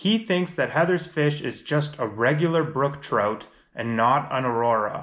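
With ordinary pitch variation, a man talks fairly slowly against a quiet background. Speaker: fishing vlogger. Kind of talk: casual vlog chat. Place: home room.

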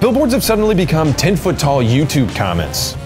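A man talks at a moderate speed while clear music plays behind him. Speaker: web video host. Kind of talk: comedic news commentary. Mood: sarcastic, wry. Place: office. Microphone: lapel.

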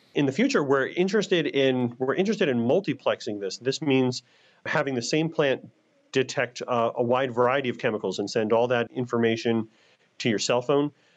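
An unremarkable speaking voice at a fairly quick pace against a quiet background. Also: man, medium pitch for a man, ordinary pitch variation. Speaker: scientist. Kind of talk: interview.

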